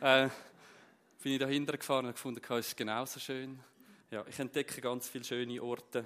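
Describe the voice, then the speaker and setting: Speaking with a Zurich accent, a man keeps a medium pitch and a monotone, flat intonation. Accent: Zurich Swiss German dialect. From Zurich Unterland, Switzerland. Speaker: preacher. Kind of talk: sermon.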